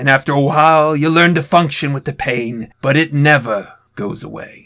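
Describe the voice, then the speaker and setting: A man puts on a raspy character voice pitched fairly high. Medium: read story. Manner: somber, resigned.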